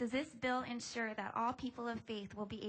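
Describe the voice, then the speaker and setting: Fairly high in pitch and somewhat breathy, a woman is speaking. Her intonation is fairly even and her pace fairly quick. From Hawaii (Honolulu). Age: 30s. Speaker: member of the public testifying, church worker. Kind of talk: public testimony. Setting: legislative hearing room.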